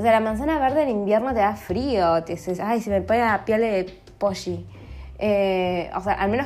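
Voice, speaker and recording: A woman with a Rioplatense accent speaks at a medium pitch in an animated tone, with vocal fry and ordinary pitch variation. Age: 30s. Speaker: podcaster. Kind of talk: casual monologue. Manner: fast.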